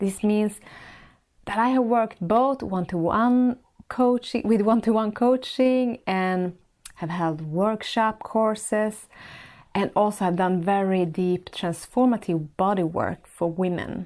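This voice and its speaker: On a very clean recording with a silent background, a woman with a Swedish accent speaks at a fairly slow pace in a warm tone, her medium pitch showing ordinary variation. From Sweden. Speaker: podcast host and life coach. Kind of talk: monologue podcast.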